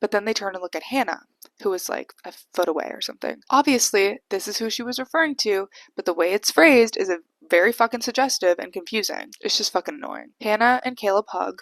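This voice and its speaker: A woman's very fast speech with vocal fry and big swings in loudness, in a dry, close sound with no echo. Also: fairly high pitch for a woman, lively intonation. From Canada. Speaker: YouTuber recapping TV shows. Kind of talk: casual chatty recap. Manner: casual, swears often; slurring words, sleepy.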